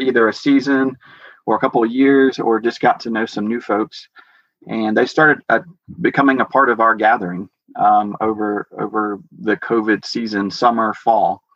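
An unremarkable speaking voice from a man with an American accent, medium pitch, ordinary pitch variation and a moderate pace. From US South, Georgia. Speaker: house church leader. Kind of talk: interview testimony. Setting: video call.

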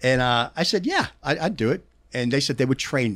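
In a very clean recording with a silent background, the speaker talks with a Pittsburgh accent at a moderate pace, with lively intonation. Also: man. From Pittsburgh, US. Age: 50s. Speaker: concert stagehand and touring crew member. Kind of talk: casual chat. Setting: studio. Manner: stutters and pauses often; animated, profane.

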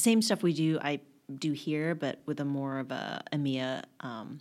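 A woman with an American accent, very deep and low in pitch, lively in intonation, at a moderate pace. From Texas, Dallas area. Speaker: copywriter and writer. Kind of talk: casual chat.

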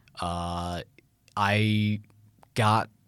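Speaking with an American accent and fairly even intonation, a man comes through in a very clean recording with a silent background. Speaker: university student. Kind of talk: casual interview.

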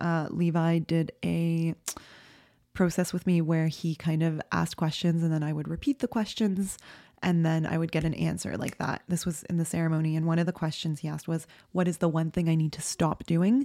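Recorded very clean with a silent background and a dry, close sound with no echo, a woman speaks at a moderate pace in a fairly low pitch, with a dark, mellow tone and fairly even intonation. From immigrant to Canada as a child. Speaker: podcast host. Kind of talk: personal storytelling monologue. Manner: casual, filler-heavy.

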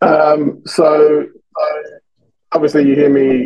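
With a British accent, a man is talking. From England, London. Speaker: sales agency founder, outbound sales expert. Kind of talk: podcast interview. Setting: video call, remote.

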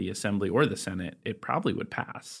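With an American accent, a man talks at a fairly quick pace in a plain, everyday voice and a fairly low pitch. The recording is very clean, with a silent background. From California, Sacramento County. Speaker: state legislator and podcast host. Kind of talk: casual political podcast chat.

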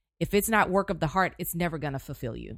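A woman with an American accent talks at a very fast pace and medium pitch, with ordinary pitch variation. The recording is very clean, with a silent background. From Houston, Texas. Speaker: journalist and news anchor. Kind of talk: casual interview.

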